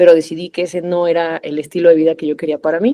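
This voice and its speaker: Talking at a very fast pace, a woman with a Mexican accent has a dark, mellow tone and a fairly low pitch. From Mexico. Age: 30s. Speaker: corporate lawyer and trader. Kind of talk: podcast interview. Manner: conversational with frequent fillers.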